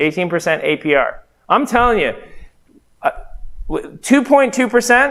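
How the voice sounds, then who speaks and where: A man speaks fairly slowly with an American accent. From Las Vegas, Nevada, US West. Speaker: real estate investor and trainer. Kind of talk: training seminar talk. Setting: training room with live audience and livestream.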